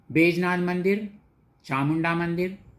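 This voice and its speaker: Here a man speaks with a high pitch. The recording is very clean, with a silent background. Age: 70s. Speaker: retired officer, devotee. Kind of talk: testimony.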